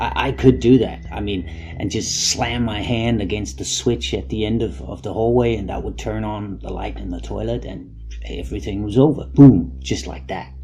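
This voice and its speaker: Over noticeable background noise, a man with a very deep, low pitch speaks at a moderate pace, his pitch swinging very widely and his loudness shifting in big swings. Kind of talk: personal anecdote storytelling. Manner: casual, conversational.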